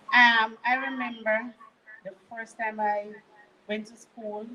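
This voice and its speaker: Someone speaks at a very slow pace with a Jamaican accent over noticeable background noise. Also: woman. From Jamaica, Manchester parish. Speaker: guest sharing testimony. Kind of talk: testimony.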